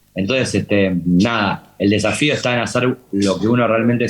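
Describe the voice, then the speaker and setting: A man in a Rioplatense accent, fairly low in pitch, with ordinary pitch variation. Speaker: TV series director. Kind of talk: interview talk. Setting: talk with student audience. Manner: halting, many repetitions.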